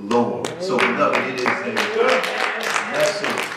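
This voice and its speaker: A man talks at a very slow pace with audible room echo. Crowd noise can be heard in the background. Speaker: pastor. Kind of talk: sermon. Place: church.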